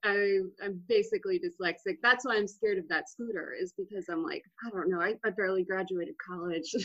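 A woman with an American accent speaks with a plain, everyday voice at a medium pitch. Her pace is fairly quick and her pitch variation ordinary. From Texas, Austin. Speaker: comedian and podcast co-host. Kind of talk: casual chat.

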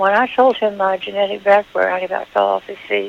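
The pitch barely moves and there is vocal fry. The pace is fairly quick. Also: woman, medium pitch for a woman.

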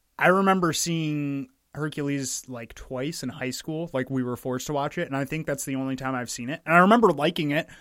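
An unremarkable speaking voice from a man, fairly high in pitch, with ordinary pitch variation, a fairly quick pace and hardly any pauses, in a very clean recording with a silent background. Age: 20s. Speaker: film podcast co-host. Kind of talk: casual chat.

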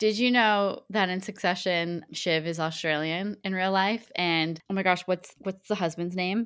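In a plain, everyday voice, a woman speaks with a Canadian accent at a medium pitch and fairly even intonation. Her pace is fairly slow with hardly any pauses, in a very clean recording with a silent background. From Canada. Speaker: sports podcast co-host. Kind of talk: casual chat; scripted news reading.

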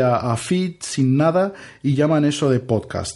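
A man with a Brazilian accent speaks at a very slow pace. His pitch is fairly high and his intonation lively. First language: Portuguese (speaking Spanish). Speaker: podcaster. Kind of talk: casual chat. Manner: halting.

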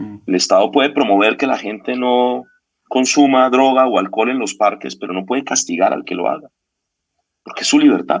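This man has a plain, everyday voice, pitched in the medium range. He speaks at a moderate pace with ordinary pitch variation. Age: 50s. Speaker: consultancy founder. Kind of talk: interview conversation.

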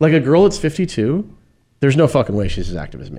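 A man speaks with vocal fry and a dark, mellow tone, his pitch swinging very widely. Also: very clean recording, silent background. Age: 50s. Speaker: podcast co-host. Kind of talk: casual chat. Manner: animated.

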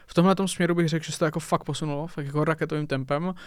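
Speaking at a very fast pace, a man with a fairly high voice keeps his intonation fairly even in a very clean recording with a silent background. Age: 20s. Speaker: esports commentator and analyst. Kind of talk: casual chat.

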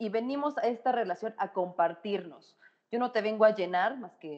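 A woman at medium pitch, with lively intonation and a moderate pace. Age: 30s. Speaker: psychologist and sexologist. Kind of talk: casual chat. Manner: animated.

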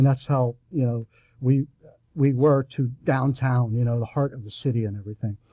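In a dry, close sound with no echo, a man of medium pitch speaks at a moderate pace with a dark, mellow, somewhat breathy tone and fairly even intonation. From Pittsburgh, North Side. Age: 50s. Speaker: retired civil servant. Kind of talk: testimony. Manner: halting.

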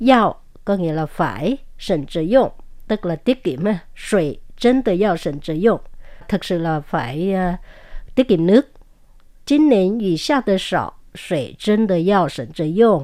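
Set in a very clean recording with a silent background, the voice has a dark, mellow tone, a fairly slow pace, long, frequent pauses, and very wide pitch swings. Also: woman, medium pitch for a woman. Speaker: language teaching show co-host. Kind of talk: language lesson.

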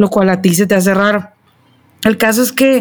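A woman talks in an unremarkable speaking voice at a medium pitch. Her intonation stays fairly even. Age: 30s. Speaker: mother. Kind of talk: casual chat.

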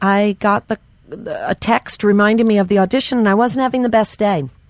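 A woman with fairly high pitch speaks in a plain, everyday voice with lively intonation. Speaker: stand-up comedian. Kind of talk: casual comedy banter with storytelling.

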